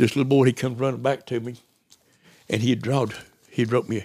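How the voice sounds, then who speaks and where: This man has a rural Southern US accent and a medium pitch. He talks at a very fast pace in a monotone, flat delivery. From US South, East Tennessee. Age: 60s. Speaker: missionary. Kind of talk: casual chat.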